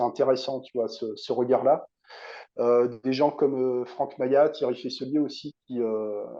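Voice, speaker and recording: The man's delivery is very slow. He keeps a medium pitch and fairly even intonation. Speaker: hypnotherapist. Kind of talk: interview conversation.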